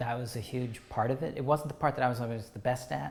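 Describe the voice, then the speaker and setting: A man with a somewhat breathy voice and ordinary pitch variation. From England, outside London. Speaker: artist, educator and organizer. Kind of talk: oral history interview answer.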